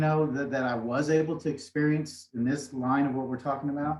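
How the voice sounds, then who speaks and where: Somewhat breathy, a man's voice sits fairly high in pitch and moves at a moderate pace. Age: 60s. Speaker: motivational speaker. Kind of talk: interview. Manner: soft-spoken; halting.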